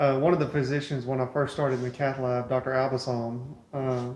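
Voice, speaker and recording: A man with an American accent talks at a fairly quick pace in a monotone, flat intonation and a medium pitch. Audible room echo and noticeable background noise surround his voice. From East Texas, Beaumont. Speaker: cath lab medical worker. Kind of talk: casual interview chat.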